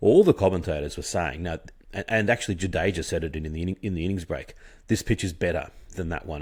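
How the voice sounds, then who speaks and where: A man with an Australian accent speaks at a very deep, low pitch with ordinary pitch variation on a very clean recording with a silent background. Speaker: cricket podcaster. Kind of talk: solo commentary monologue. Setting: at home at night. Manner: soft-spoken; halting, many fillers.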